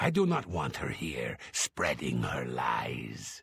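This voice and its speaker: Growling in a put-on character voice, a man speaks at a very deep, low pitch and a very slow pace. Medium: video game. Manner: formal, authoritative.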